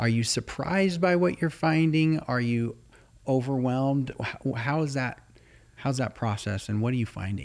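With an ordinary speaking voice, a man talks at a moderate pace, pitched medium and varying it in an ordinary way. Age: 30s. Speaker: podcast host. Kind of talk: interview.

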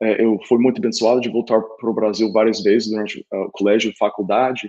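Speaking at a moderate pace with an English accent, a man uses a medium pitch, a dark, mellow tone and fairly even intonation. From Oklahoma, US (Tulsa). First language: English (speaking Portuguese). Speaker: sales enablement consultant. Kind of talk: interview. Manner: halting, with filler and repeated words.

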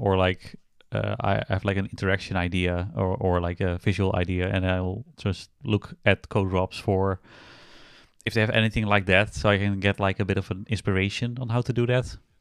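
A man with a plain, everyday voice and fairly low pitch talks at a moderate pace, the sound dry and close with no echo on a very clean recording with a silent background. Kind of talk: casual chat. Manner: deadpan, joking.

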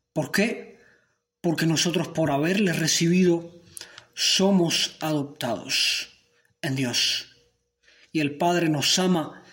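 A man with a fairly high pitch speaks at a very slow pace, with audible room echo. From Cuba. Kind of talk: sermon.

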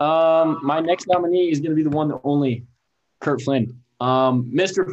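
A man speaks in a normal speaking voice at a moderate pace. His intonation is fairly even. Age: 20s. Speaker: college sports podcast co-host. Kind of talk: casual chat. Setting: video call.

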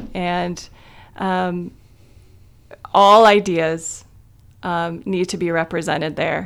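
A woman with a Midwestern American accent, fairly low-pitched and monotone with flat intonation, at a very slow pace with long, frequent pauses. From Ohio, small town in Wayne County. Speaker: library communications officer. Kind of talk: radio interview.

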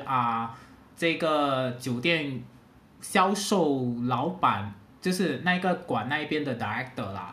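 A man speaks at a very slow pace with lively intonation. Room echo can be heard around him. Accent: Singaporean. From Singapore. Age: 30s. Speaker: hotel sales worker. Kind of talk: casual chat.

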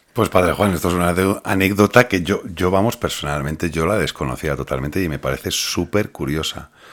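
Vocal fry runs through this fairly quick delivery, which has ordinary pitch variation. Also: man, very deep, low pitch for a man. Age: 40s. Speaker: podcast host. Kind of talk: casual religious podcast chat. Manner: halting, repeats words.

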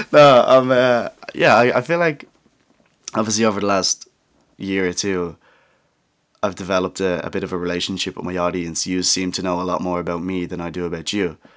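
A man with a very deep, low pitch and an English accent speaks with ordinary pitch variation and long, frequent pauses. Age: young. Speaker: podcast host. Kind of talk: casual monologue. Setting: home studio.

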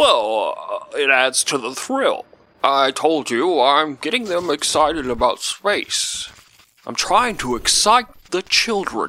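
A man puts on a character voice, speaking slowly with big pitch swings, a fairly high pitch, and a bright, sharp tone.

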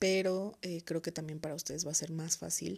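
A woman speaks in a central Mexican accent. The recording is very clean, with a silent background. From Mexico, Toluca, State of Mexico. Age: 20s. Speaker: podcast host. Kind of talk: solo podcast monologue. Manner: hesitant, many fillers.

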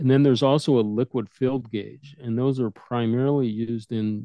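In an American accent, a man with medium pitch and fairly even intonation talks in an ordinary speaking voice. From Detroit, Michigan. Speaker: instrument sales manager. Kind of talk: interview explanation.

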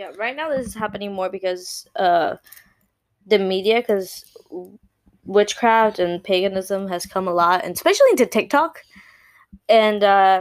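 A woman speaks at a moderate pace with a slight Puerto Rican accent and lively intonation. The recording is very clean, the background silent. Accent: light Puerto Rican Spanish-accented English. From Puerto Rico. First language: Spanish. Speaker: podcast co-host. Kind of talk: casual chat. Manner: animated.

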